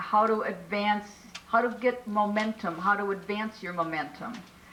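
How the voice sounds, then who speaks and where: Delivered at a moderate pace, the speech comes with noticeable background noise. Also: woman. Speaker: multi-level marketing trainer. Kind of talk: training presentation. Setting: business meeting.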